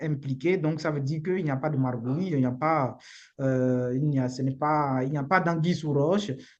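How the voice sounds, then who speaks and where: This voice has a Beninese accent and moves at a moderate pace. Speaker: immigration lawyer. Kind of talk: live webinar talk. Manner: halting, repeats words.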